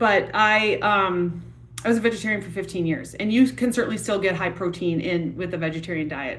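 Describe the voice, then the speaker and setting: A woman with a Wisconsin accent, fairly low-pitched, at a moderate pace with ordinary pitch variation, amid audible room echo and noticeable background noise. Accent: Wisconsin accent, noticeable O vowels. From US Midwest, Wisconsin. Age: 40s. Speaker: yoga and fitness instructor. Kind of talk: live stream chat. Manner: casual, many fillers.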